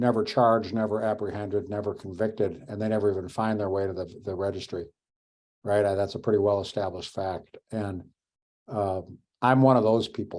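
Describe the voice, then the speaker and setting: Recorded very cleanly against a silent background, a man speaks at a fairly low pitch with fairly even intonation. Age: 60s. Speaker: webinar panelist. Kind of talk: panel discussion. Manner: halting.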